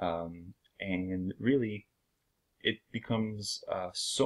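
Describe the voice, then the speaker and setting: A man speaks with a French accent. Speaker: video blogger. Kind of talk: channel introduction talk. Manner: hesitant, many fillers.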